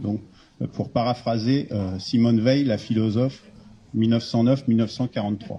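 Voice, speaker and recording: A man's somewhat breathy voice has a dark, mellow tone, medium pitch, fairly even intonation, and a moderate pace. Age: 60s. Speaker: retired engineer, civic initiative founder. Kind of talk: public talk at a meeting. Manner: halting.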